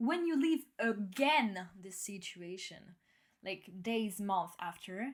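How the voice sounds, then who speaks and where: At a very slow pace, a woman speaks in a somewhat breathy voice with fairly high pitch, on a very clean recording with a silent background. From France. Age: 20s. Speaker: podcast host. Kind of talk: casual personal podcast talk, self-development. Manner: upbeat, enthusiastic, sincere.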